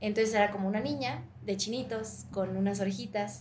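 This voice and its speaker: Somewhat breathy, a woman talks at a moderate pace and medium pitch with ordinary pitch variation, and the room echo is audible. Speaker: actress. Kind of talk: interview.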